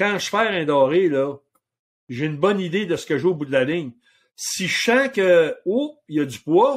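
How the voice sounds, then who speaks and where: A man with a Quebec accent, high-pitched for a man, fairly slow, with very wide pitch swings. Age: 60s. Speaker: outfitter and hunting guide. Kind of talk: casual interview chat.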